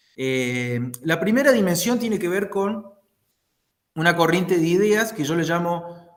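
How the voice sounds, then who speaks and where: Amid audible room echo, a man with a Córdoba accent speaks fairly slowly at a high pitch with lively intonation and long, frequent pauses. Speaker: political scientist. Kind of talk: talk in an online discussion. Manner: halting, many fillers.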